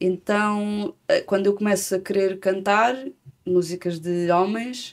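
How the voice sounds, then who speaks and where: A woman speaks at a very slow pace and a medium pitch. Her loudness stays very even and her intonation fairly even. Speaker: singer-songwriter. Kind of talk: interview. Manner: halting.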